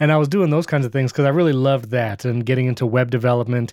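This is a man with an American accent and a normal speaking voice, pitched at a medium level. Pitch variation is ordinary, and the recording is very clean with a silent background. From upstate New York (born Brooklyn). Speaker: podcast video producer and host. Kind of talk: casual interview chat.

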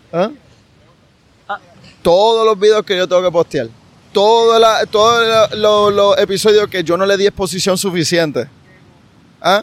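This man has a high pitch and a fairly even intonation, talking at a fairly slow pace with long, frequent pauses. The sound is dry and close, with no echo. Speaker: sports podcast host. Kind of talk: casual interview chat. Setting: outdoors at the beach.

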